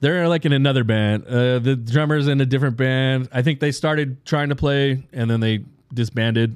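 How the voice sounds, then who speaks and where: Using a normal speaking voice, a man speaks at a moderate pace and medium pitch, with fairly even intonation and very even loudness. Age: 40s. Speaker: podcast host. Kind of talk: casual chat. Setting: studio.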